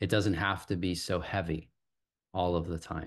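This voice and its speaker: Against a quiet background, a man with a very deep, low pitch speaks at a moderate pace with fairly even intonation. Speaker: podcast guest. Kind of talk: interview answer. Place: home room. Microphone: video call.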